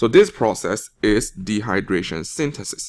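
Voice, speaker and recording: Speech from this man is very slow. He holds a medium pitch. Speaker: teacher. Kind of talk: classroom test review lecture.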